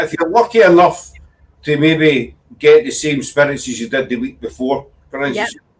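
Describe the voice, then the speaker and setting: Speaking in a Scottish accent, a man uses lively intonation at a fairly high pitch and a moderate pace. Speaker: paranormal livestream host. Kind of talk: casual livestream hosting.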